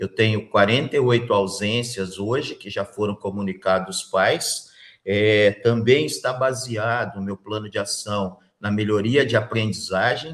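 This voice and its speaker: An ordinary speaking voice from a man, fairly low in pitch, fairly slow, with fairly even intonation and hardly any pauses. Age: 50s. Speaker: school principal, job interview candidate. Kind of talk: job interview.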